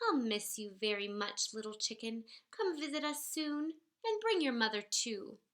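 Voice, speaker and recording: Someone performs a put-on character voice at a moderate pace. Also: female-sounding voice, fairly high pitch for a woman. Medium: read story. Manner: excited.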